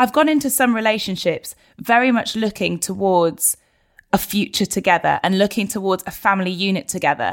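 A woman with a British accent, lively intonation and a moderate pace. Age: 30s. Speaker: broadcaster and presenter. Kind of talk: casual chat. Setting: video call.

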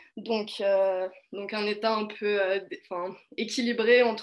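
The woman speaks at a very slow pace. Her intonation stays monotone and flat. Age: 20s. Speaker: political science student. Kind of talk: casual discussion.

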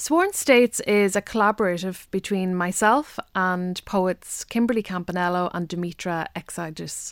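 Someone with a Donegal accent talks at a moderate pace, with hardly any pauses and ordinary pitch variation. The sound is dry and close with no echo, on a very clean recording with a silent background. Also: woman, medium pitch for a woman. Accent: Donegal Irish. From Donegal Gaeltacht, Ireland. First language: Irish. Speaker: poet. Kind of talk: interview.

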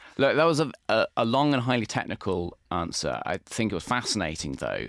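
A man speaks with vocal fry. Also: very clean recording, silent background. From English Midlands, Warwick. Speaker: architecture critic and podcast host. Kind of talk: casual interview and news roundup. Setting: studio.

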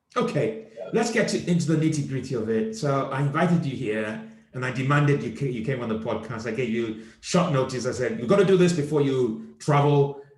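The tone is animated, with lively intonation at a fairly quick pace. Hardly any pauses come through, and noticeable background noise sits underneath. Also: man, fairly high pitch for a man. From Nigeria. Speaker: comedian and podcast host. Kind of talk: casual chat.

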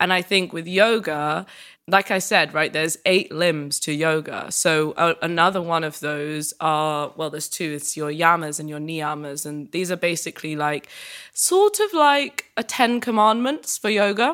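A woman with a British accent speaks with ordinary pitch variation and big swings in loudness. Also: fairly low pitch for a woman, moderate pace. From UK. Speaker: yoga practitioner and content creator. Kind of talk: interview.

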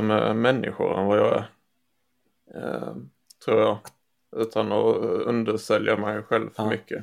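His speech moves fairly slowly. The man pauses often and at length. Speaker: software developer and podcast co-host. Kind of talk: casual chat.

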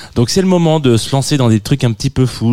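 On a very clean recording with a silent background, a man speaks at a fairly quick pace. His tone is dark and mellow, his intonation lively. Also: dry, close sound with no echo. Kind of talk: casual chat. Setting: studio.

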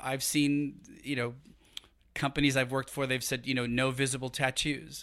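This man, with a New York accent, talks at a moderate pace in a medium pitch, his flat, monotone intonation carried by a bright, sharp tone on a very clean recording with a silent background. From New York City, Brooklyn. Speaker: human resources executive. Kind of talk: casual interview. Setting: studio.

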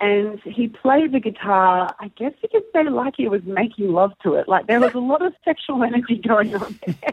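A woman's fairly high voice with an Australian accent, lively intonation and a moderate pace. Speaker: air guitar competitor. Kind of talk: casual chat. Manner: animated.

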